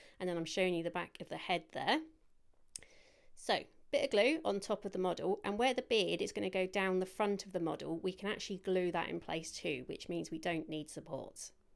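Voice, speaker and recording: A woman's fairly quick voice with vocal fry in a British accent, ordinary pitch variation, on a very clean recording with a silent background. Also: medium pitch for a woman. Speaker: cake decorating instructor. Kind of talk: tutorial. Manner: fast; stumbling over words.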